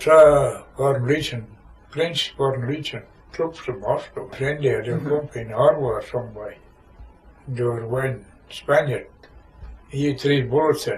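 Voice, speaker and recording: Noticeable background noise surrounds a man speaking at a moderate pace with big swings in loudness and long, frequent pauses. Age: 80s+. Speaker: war veteran. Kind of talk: oral history interview answer.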